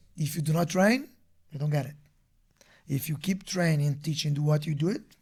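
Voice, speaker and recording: Speaking at a fairly quick pace with a strong Brazilian accent, a man has a fairly high pitch and ordinary pitch variation. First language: Portuguese. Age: 30s. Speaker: martial arts instructor. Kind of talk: casual interview chat. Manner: halting.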